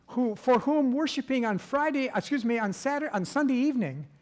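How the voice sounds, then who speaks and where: This man's American accent carries very wide swings in pitch. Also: very clean recording, silent background. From US Midwest, North Dakota. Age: 70s. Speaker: church workshop presenter. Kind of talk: workshop lecture. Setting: church event with audience.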